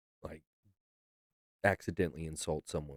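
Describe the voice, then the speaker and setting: A man's very deep, low voice sounds strained at a moderate pace, recorded dry and close with no echo. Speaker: music video reactor. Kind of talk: reaction video commentary. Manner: monotone; restrained.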